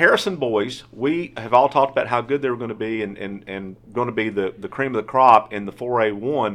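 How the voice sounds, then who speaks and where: An unremarkable speaking voice from a man at medium pitch, fairly quick and with hardly any pauses, ordinary pitch variation, and a quiet background. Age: 50s. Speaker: sportswriter podcast host. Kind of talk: casual sports chat. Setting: studio.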